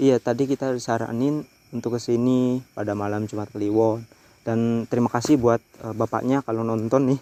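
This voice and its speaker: A man speaks at a moderate pace and medium pitch, his tone dark and mellow and his intonation monotone and flat. The sound is dry and close with no echo, in a very clean recording with a silent background. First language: Javanese (speaking Indonesian). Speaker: horror vlogger. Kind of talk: night ghost-hunting vlog. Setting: outdoors on a bridge at night.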